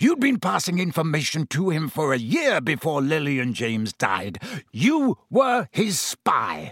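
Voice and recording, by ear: In a put-on character voice with very wide pitch swings, the speaker goes at a fairly slow pace with a fairly bright tone and a dry, close sound with no echo. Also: man, fairly high pitch for a man.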